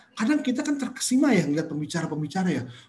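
Against clear music in the background, a man's voice moves through very wide pitch swings. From Indonesia. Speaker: entrepreneurship speaker; speaker. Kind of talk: webinar lecture. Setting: video call. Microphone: webcam.

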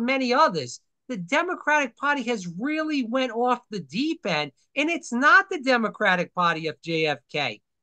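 Over a quiet background, a man with an extremely high, bright and sharp voice projects loudly, his pitch swinging very widely at a fairly slow pace. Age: 30s. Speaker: podcast host. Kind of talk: casual political interview. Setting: video call. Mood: earnest, opinionated. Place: home room. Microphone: webcam.

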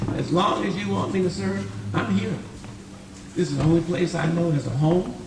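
Background noise is noticeable and room echo audible as the words go by at a fairly quick speed. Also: man. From Richmond, California (born in Texas). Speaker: city council candidate. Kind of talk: campaign speech at candidate forum. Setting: community forum in school with audience.

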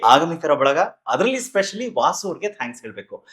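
With lively intonation, a man speaks in an animated tone. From Karnataka. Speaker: talk show host and emcee. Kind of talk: interview.

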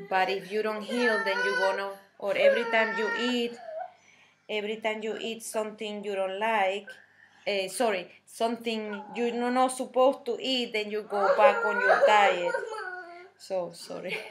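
The speaker has a Spanish accent. Loud background noise is present. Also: woman, fairly high pitch for a woman, moderate pace. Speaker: health vlogger. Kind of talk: personal testimony and product tutorial. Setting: home video recording. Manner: halting, many fillers. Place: kitchen. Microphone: webcam.

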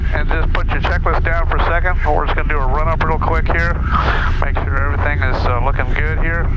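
The man talks at a very fast pace. Loud background noise runs under a dry sound with no echo. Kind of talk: cockpit instructions and radio calls. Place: plane. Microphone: headset.

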